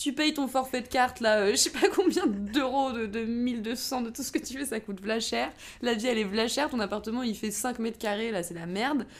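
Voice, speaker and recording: An unremarkable speaking voice, a woman's, fairly high in pitch with ordinary pitch variation, moves at a moderate pace. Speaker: podcast co-host. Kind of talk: casual chat.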